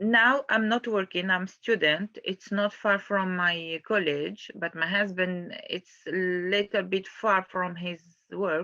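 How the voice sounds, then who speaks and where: A woman of medium pitch speaking very slowly with fairly even intonation. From Algeria. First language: not English (English is third language). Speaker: student and mother of five-person household. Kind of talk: interview. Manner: halting, many fillers and repetitions.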